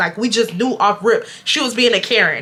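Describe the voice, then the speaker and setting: A woman speaks at a moderate pace in a high pitch, her tone animated. Noticeable noise sits in the background. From Houston, Texas. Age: 20s. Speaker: YouTuber, storyteller. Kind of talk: storytime talk to camera. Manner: casual, animated.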